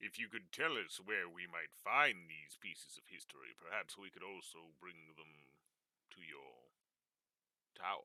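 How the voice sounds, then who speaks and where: Putting on a character voice, a man speaks with a very deep, low pitch and lively intonation. He keeps a moderate pace, broken by long, frequent pauses. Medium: actual play. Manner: formal, courteous.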